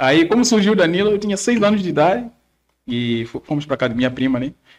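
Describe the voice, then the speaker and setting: Very fast and with lively intonation, a man rattles through his words. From Mozambique. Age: 20s. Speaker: nursing and theology student. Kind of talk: podcast interview.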